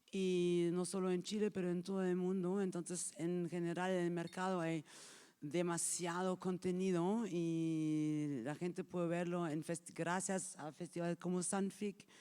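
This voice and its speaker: A woman with a fairly low pitch and a dark, mellow tone talks at a fairly slow pace in a monotone, flat manner. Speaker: film market executive. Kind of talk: workshop talk. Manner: halting, improvising.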